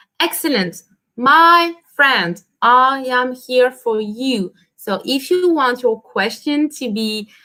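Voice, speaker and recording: In a French accent, a woman projects her high-pitched voice at a very slow pace with lively intonation. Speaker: French teacher. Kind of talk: livestream language lesson. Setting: livestream.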